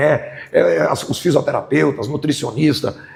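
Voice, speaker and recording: A man talks while there is noticeable background noise. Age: 60s. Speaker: football coach. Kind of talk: press conference. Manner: halting, repeats words.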